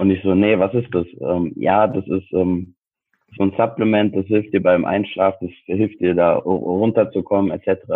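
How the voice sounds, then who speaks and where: In a monotone, flat intonation, a man talks at a fairly slow pace with a fairly low pitch. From Frankfurt, Germany. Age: 20s. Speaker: sports science student and personal trainer. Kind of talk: casual interview chat.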